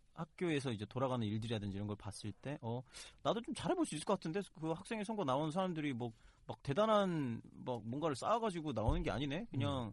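A man speaks at a very fast pace with a fairly high pitch. His pitch swings very widely. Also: quiet background. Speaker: student election candidate. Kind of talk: interview on campus election.

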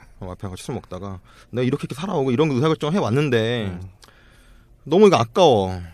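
A man speaks at a very fast pace and medium pitch, with very wide pitch swings, big swings in loudness and long, frequent pauses. The recording is very clean, with a silent background. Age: 30s. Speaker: startup founder. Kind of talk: casual chat.

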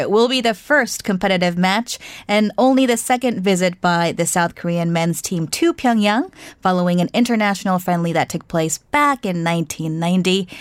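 In an American accent, a woman speaks at a moderate pace with ordinary pitch variation and an ordinary speaking voice. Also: very clean recording, silent background. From United States. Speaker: radio host. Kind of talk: scripted news introduction; radio interview. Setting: studio.

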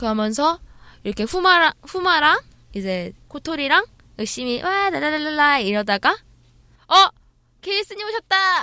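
Using a raised, projected voice with very wide pitch swings, the speaker goes at a fairly slow pace with long, frequent pauses, in a dry, close sound with no echo. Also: woman, high pitch for a woman. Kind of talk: casual chat.

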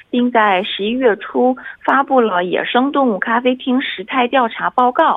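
At a fairly slow pace, a woman with an unremarkable speaking voice talks at a fairly high pitch with ordinary pitch variation. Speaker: reporter. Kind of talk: radio report. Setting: phone call.

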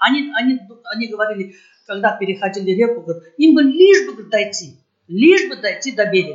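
A woman talks at a moderate pace with a fairly high pitch. Her pitch moves in very wide swings. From Uzbekistan, Tashkent region. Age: 60s. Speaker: folk choir member. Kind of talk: interview. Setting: charity evening event. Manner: halting.

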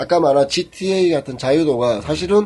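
Over noticeable background noise, a man with a fairly high pitch uses lively intonation. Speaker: podcast co-host. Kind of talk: casual chat. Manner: joking, talkative.

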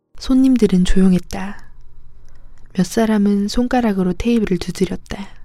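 Her tone dark and mellow, a woman speaks at a medium pitch and moderate pace with fairly even intonation. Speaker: audiobook narrator. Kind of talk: reading aloud.

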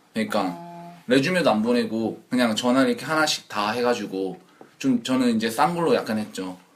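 Amid noticeable background noise, a man talks at a fairly quick pace with lively intonation. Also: medium pitch for a man. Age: 20s. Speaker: working holiday maker. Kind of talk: casual chat.

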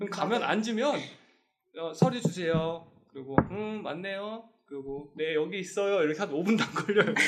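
This man talks at a fairly quick pace in a high voice that makes very wide pitch swings. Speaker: fashion brand owner, podcast host. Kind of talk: casual chat. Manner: talkative, fast.

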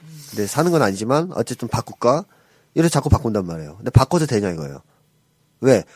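Very fast but broken by long, frequent pauses, a man of medium pitch speaks with very wide pitch swings. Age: 40s. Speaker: psychologist. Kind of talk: counseling advice talk.

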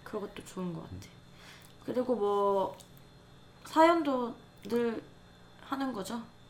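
In a room with audible echo, a woman with a fairly high voice and lively intonation talks at a very slow pace, leaving long, frequent pauses. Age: 20s. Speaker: podcast co-host, creative writing student. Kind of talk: casual chat.

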